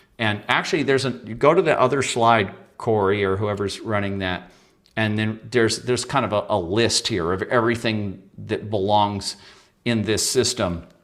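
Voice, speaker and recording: With an unremarkable speaking voice, a man talks at a moderate pace in a fairly low pitch with ordinary pitch variation. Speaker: guest author and shadow work teacher. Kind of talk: interview presentation with slides.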